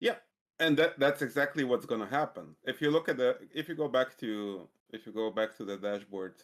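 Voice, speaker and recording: A man talks at a fairly quick pace with lively intonation. His pitch sits at a medium level. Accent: Balkan. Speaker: programming mentor. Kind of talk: coding tutorial. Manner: hesitant, many fillers.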